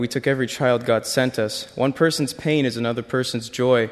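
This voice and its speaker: A man with an unremarkable speaking voice talks at a fairly quick pace. His pitch is medium and his intonation fairly even. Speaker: short-term mission team member. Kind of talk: testimony.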